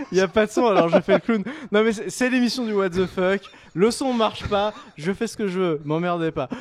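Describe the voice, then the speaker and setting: A loud man's voice, high in pitch, at a moderate pace. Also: ordinary pitch variation. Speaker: show host. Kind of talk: live panel show talk. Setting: studio with live chat stream. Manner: animated. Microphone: microphone not working, sound cutting out.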